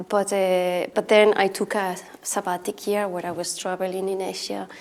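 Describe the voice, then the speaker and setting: A woman's monotone, flat intonation with a Spanish accent. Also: medium pitch for a woman, moderate pace. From Spain, Alicante (Altea). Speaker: artist. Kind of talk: panel discussion.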